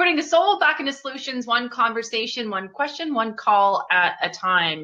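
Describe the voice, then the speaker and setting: Pitched high and swinging very widely, a woman's voice runs on with hardly any pauses. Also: moderate pace. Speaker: talk show host. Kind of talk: interview host talk.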